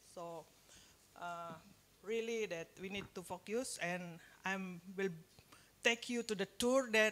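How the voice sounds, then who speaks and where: With an Indonesian accent, a woman speaks at a medium pitch with fairly even intonation. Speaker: nutrition and public health expert, guest lecturer. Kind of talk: lecture. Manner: halting, many fillers.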